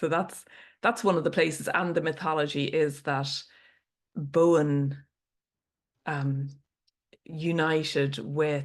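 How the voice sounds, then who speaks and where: A woman with an Irish accent speaks at a very slow pace with long, frequent pauses. Her pitch is very deep and low, with fairly even intonation. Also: quiet background. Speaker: storyteller. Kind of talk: podcast interview answer.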